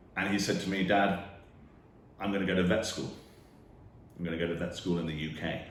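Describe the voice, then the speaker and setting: There's audible room echo around a man with a very deep, low voice and monotone, flat intonation. He talks fairly quickly but with long, frequent pauses. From UK. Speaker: financial planner. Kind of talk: direct-to-camera talk.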